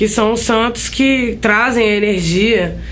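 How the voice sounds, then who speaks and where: With audible room echo and noticeable background noise, a woman talks at a fairly slow pace with fairly even intonation. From Brazil, Caratinga, Minas Gerais. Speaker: singer and guitarist. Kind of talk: interview.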